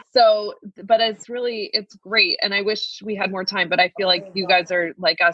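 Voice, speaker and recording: Moderately paced speech from a woman. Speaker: podcast co-host, lactation business coach. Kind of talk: casual group chat, episode wrap-up.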